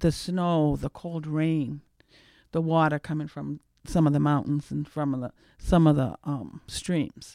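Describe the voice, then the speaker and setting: On a very clean recording with a silent background, a woman with an American accent speaks in a dark, mellow tone with a very deep, low pitch, a fairly slow pace and fairly even intonation. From Cape Cod, Massachusetts. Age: 50s. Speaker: chef. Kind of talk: radio panel discussion.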